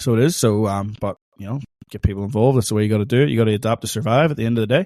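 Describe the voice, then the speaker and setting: A man's medium-pitched, dark and mellow voice at a very fast pace, with ordinary pitch variation, in a very clean recording with a silent background and a dry, close sound with no echo. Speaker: lawn bowls podcast co-host. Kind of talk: casual chat. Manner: informal, chatty.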